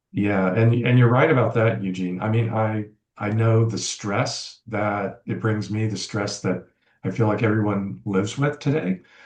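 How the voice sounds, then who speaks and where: With an American accent, a man speaks in an ordinary speaking voice, fairly low in pitch, at a moderate pace with fairly even intonation. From US South. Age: 60s. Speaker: podcast guest. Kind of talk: casual chat.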